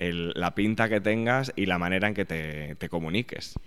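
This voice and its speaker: An ordinary speaking voice from a man, with ordinary pitch variation at a moderate pace. The recording is very clean, with a silent background. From Spain, Aragon. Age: 30s. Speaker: journalist and sociologist, author. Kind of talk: interview.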